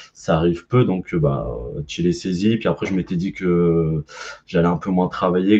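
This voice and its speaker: Very deep and low in pitch, a man talks at a fairly quick pace with a dark, mellow tone. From northern France (Pas-de-Calais), teens in Corsica. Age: 30s. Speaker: nurse. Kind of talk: casual chat. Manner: hesitant, many fillers.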